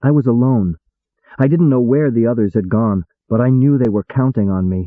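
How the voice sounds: The background has little noise. The voice is a natural reading voice.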